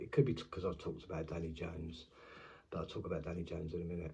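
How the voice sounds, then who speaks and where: A man speaks quietly and somewhat breathily in a very deep, low pitch with a dark, mellow tone and audible room echo. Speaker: YouTube commentator. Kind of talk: casual vlog monologue. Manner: halting.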